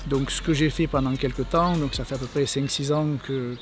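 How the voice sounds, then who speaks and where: A man's voice with music in the background. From Provence, southern France (Vaucluse). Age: 30s. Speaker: rugby club youth staff member, former player. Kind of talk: interview monologue. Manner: halting, many hesitations.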